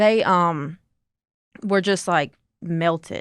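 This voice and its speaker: A woman's fairly low voice in a Southern accent, dry and close with no echo. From Mississippi. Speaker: accident survivor, amputee. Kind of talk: interview testimony. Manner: casual, halting.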